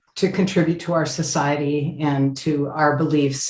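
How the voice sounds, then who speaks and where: Audible room echo surrounds a woman with a very deep, low voice. She speaks at a moderate pace with fairly even intonation. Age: 70s. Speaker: activist. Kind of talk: interview.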